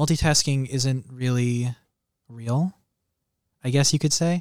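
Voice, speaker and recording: Here a man with an unremarkable speaking voice talks at a moderate pace and medium pitch. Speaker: culture editor. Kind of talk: casual chat.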